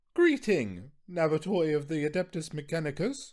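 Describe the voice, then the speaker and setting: A man's shrill, put-on character voice, fairly high in pitch, with lively intonation at a moderate pace. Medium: read story. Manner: huffy, anxious.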